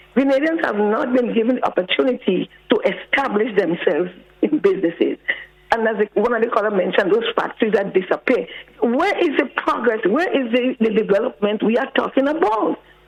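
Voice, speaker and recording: A woman with a fairly high voice speaks at a fairly quick pace, her pitch swinging very widely. Noticeable background noise can be heard. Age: 70s. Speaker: caller. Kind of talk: call-in radio comment.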